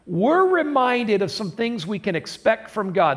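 This man's high-pitched voice moves through very wide pitch swings. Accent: Midwestern American. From US Midwest, southern Michigan. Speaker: pastor. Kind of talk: sermon. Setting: recorded in a church for online service.

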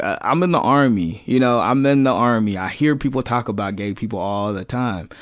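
In an American accent, a man speaks at a moderate pace with a medium pitch. It is a normal speaking voice. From California. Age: 20s. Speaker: Iraq war veteran. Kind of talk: casual interview.

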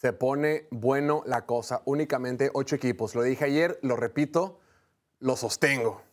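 A man with a plain, everyday voice speaks at a fairly slow pace and medium pitch, his intonation fairly even and his loudness very even. The recording is very clean, with a silent background. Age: 40s. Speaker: sports podcast host. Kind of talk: casual sports talk show. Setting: studio.

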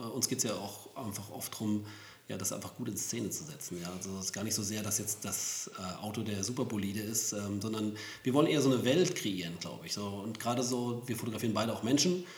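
There is audible room echo and noticeable background noise. A man with a fairly low pitch talks very fast, with ordinary pitch variation. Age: 40s. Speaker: professional photographer, podcast co-host. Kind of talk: casual chat.

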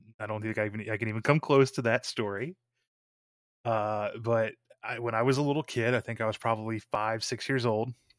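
Talking at a fairly quick pace, a man uses an ordinary speaking voice of medium pitch with fairly even intonation. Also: dry, close sound with no echo, very clean recording, silent background. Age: 20s. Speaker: film podcast host. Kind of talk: casual chat.

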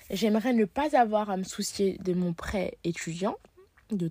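A woman's medium-pitched, somewhat breathy voice at a very slow pace, ordinary pitch variation, dry and close with no echo. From Paris, France. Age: 20s. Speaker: journalism student. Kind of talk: personal monologue. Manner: hesitant.

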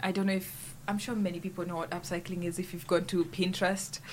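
The speech comes at a very fast pace and sounds somewhat breathy. Its intonation is flat and monotone. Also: woman. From Kenya. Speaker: student activist. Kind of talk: casual chat. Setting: studio.

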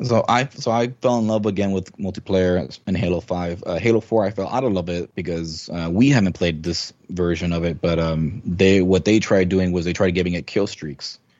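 Speaking at a moderate pace with hardly any pauses, a man uses a very deep, low voice with ordinary pitch variation. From Mexico. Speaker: gamer and community member. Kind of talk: casual chat.

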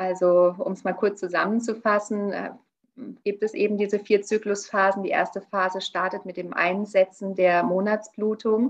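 Moderate pace and a monotone, flat intonation. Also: woman, medium pitch for a woman. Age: 40s. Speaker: naturopath and nutrition coach. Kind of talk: interview.

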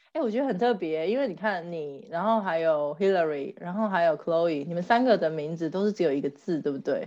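A woman's ordinary speaking voice, fairly low in pitch, with lively intonation, a fairly quick pace and hardly any pauses. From Taiwan. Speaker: podcast co-host, mother. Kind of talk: casual chat.

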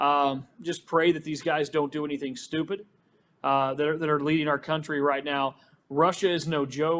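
At a moderate pace, a man talks in a monotone, flat voice at a fairly high pitch, on a very clean recording with a silent background. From Arkansas. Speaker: news reporter. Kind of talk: panel discussion.

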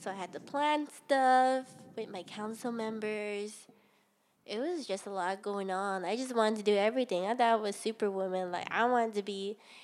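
A woman with a Hawaiian accent talks at a moderate pace. Her pitch is fairly high, with ordinary variation. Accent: Hawaii local English. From Hawaii, Ewa Beach on Oahu. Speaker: podcast co-host. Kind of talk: casual chat.

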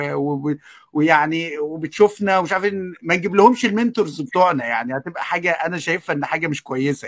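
Lively intonation comes with big swings in loudness. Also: man, high pitch for a man, fairly quick pace. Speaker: online educator and writer. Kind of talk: casual panel discussion.

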